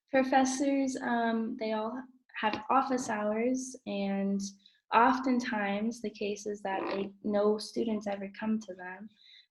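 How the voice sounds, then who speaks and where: Somewhat breathy and fairly high-pitched, a woman with an American accent speaks very slowly with fairly even intonation. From Portland, Oregon, USA. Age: 20s. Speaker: assistant English teacher. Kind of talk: interview answer. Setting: video call. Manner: talkative.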